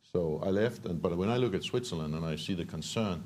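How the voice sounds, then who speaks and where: A man's very deep, low voice with a dark, mellow tone, a very fast pace and a Danish accent. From Denmark. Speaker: entrepreneur. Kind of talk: panel discussion. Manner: halting, many repetitions.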